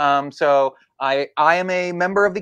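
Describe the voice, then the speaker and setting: An ordinary speaking voice from a man, fairly high in pitch with ordinary pitch variation, in a dry, close sound with no echo. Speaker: law graduate studying for the bar. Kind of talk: casual legal discussion. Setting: livestream.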